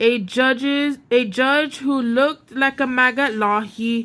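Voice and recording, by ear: A woman talks at a slow pace in a high, fairly bright voice. Her intonation stays fairly even.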